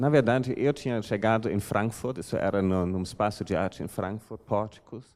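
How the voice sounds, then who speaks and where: In a German accent, a man speaks at a medium pitch with ordinary pitch variation. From Germany. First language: German (speaking Portuguese). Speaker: art curator. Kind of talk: lecture. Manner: halting, many fillers.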